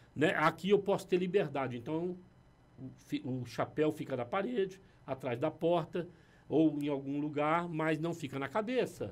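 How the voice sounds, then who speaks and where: Fairly slow delivery from a man with a normal speaking voice, fairly high pitch and ordinary pitch variation. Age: 60s. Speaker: pastor. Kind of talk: casual chat. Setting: studio.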